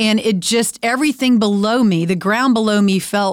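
Speaking at a moderate pace with a Texan accent, a woman uses a fairly high pitch with ordinary pitch variation. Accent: Texan American. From Texas. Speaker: podcast host, women's ministry speaker. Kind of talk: casual faith conversation.

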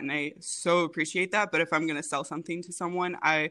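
Her tone comes across bright and sharp as a woman talks. Everything is captured in a very clean recording against a silent background. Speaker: podcast guest, baker and recipe developer. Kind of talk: casual, conversational. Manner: fast talker.

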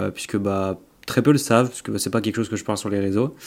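A man with an ordinary speaking voice talks at a fairly low pitch with fairly even intonation. The recording is very clean, with a silent background. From Auvergne, France. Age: 20s. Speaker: bodybuilder and entrepreneur. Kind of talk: casual interview chat.

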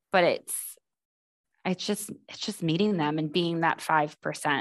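A normal speaking voice from a woman with an American accent, fairly low in pitch, fairly slow, with ordinary pitch variation and big swings in loudness, in a dry, close sound with no echo. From Boston. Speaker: admissions advisor. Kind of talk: podcast interview.

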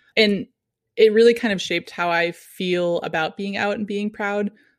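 Her voice is an unremarkable speaking voice at medium pitch for a woman. She talks at a moderate pace with fairly even intonation. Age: 30s. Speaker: wedding photographer. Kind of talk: casual interview.

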